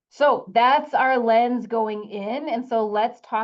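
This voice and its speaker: A woman speaks with a Wisconsin accent. Her pace is fairly slow, with ordinary pitch variation. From US Midwest, Wisconsin. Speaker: soil scientist, extension specialist. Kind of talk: webinar lecture. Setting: online webinar. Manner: casual with frequent fillers.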